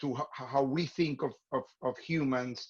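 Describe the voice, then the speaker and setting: A man with a non-native accent speaks at a fairly high pitch. His pitch varies ordinarily against a quiet background. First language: not English. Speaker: theater artistic director hosting webinar. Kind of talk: online class introduction. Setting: video call. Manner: halting, many fillers and repeats.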